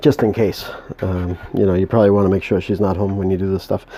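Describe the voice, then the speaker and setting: A man speaks with a New England accent. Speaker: home moonshine maker. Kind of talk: tutorial. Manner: halting.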